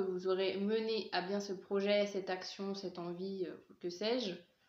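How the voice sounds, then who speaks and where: Audible room echo surrounds a woman speaking at a fairly slow pace and a medium pitch. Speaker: tarot card reader. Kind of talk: tarot reading to camera. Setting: filmed face cam. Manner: hesitant, many fillers.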